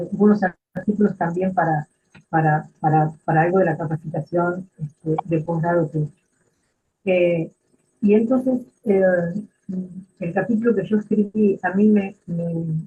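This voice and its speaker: Pausing long and often, a woman speaks at a fairly slow pace in a somewhat breathy voice, fairly low in pitch with ordinary pitch variation. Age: 70s. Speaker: retired social work supervisor. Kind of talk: book presentation talk. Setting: live stream. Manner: halting, many fillers.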